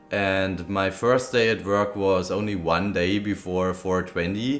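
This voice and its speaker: The intonation stays fairly even, in a Bavarian accent. Noticeable background noise runs underneath. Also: man. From Bavaria, Germany. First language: German. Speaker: vlogger, cannabis dispensary worker. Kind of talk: casual vlog recap. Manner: loud.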